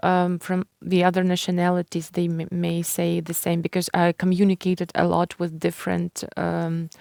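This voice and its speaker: In a Ukrainian accent, a woman speaks at a fairly low pitch and a moderate pace with monotone, flat intonation. The very clean recording has a silent background and a dry, close sound with no echo. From Ukraine. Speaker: writer and publisher. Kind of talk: interview. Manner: halting.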